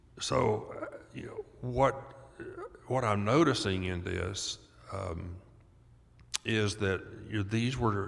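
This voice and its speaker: A man with a fairly low voice speaks very slowly, leaving long, frequent pauses and using ordinary pitch variation. Room echo is audible. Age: 70s. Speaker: doctor and author on childhood trauma. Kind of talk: podcast interview. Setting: live at a conference.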